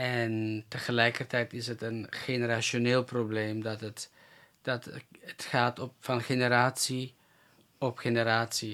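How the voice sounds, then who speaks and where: Speaking very slowly in a flat monotone, a man uses a bright, sharp tone at a medium pitch. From North Macedonia (Roma), raised in Germany and the Netherlands. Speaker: evangelist. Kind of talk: interview. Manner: halting.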